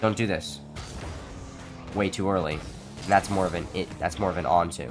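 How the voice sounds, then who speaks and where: Music in the background behind a man's very deep, low voice. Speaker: gaming tutorial creator. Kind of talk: gaming tutorial voiceover.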